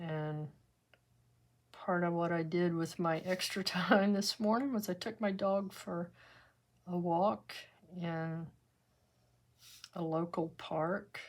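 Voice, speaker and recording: Speaking at a very slow pace with long, frequent pauses, a woman with a Texan accent uses a fairly low pitch, ordinary pitch variation and a relaxed tone. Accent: Texan US Southern. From West Texas. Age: 70s. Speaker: art teacher. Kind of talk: tutorial with casual chat. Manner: relaxed, conversational.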